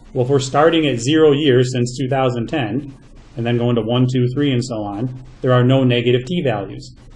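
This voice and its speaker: A man speaks with fairly even intonation, and audible room echo surrounds his voice. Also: medium pitch for a man, fairly quick pace. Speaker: math teacher. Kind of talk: lecture. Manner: fast.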